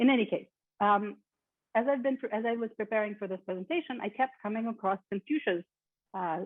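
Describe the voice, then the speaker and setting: Someone with a Russian accent talks at a fairly quick pace, with long, frequent pauses. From born in Kyiv, Ukraine; moved to the US at twelve. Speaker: keynote speaker, lecturer. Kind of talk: keynote lecture. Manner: frequent filler ums.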